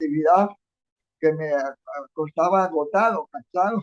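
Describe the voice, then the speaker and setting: The sound is dry and close, with no echo. A man speaks fairly slowly. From Venezuela, Táchira state (Andean). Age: 70s. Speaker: human rights defender and former legislator. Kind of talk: interview.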